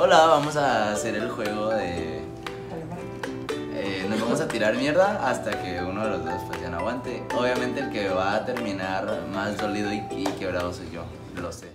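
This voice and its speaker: Loud music plays in the background. A man speaks over it at a moderate pace. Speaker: vlogger. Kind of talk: casual vlog chat. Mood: playful, laughing a lot. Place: home room.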